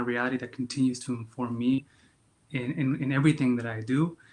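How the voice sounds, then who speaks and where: This man speaks with a Spanish accent at a moderate pace. His pitch is medium and his intonation is monotone and flat. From Yakima County, Washington, US. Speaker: memoir author. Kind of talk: interview. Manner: halting, many fillers and repetitions.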